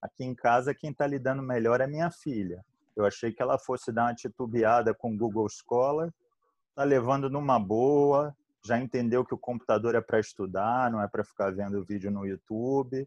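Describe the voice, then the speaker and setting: Against a quiet background, a man with a Rio de Janeiro accent speaks at medium pitch and a moderate pace, with ordinary pitch variation, in a dry, close sound with no echo. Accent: carioca. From Rio de Janeiro, Brazil. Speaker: infectious disease physician. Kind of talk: online panel discussion.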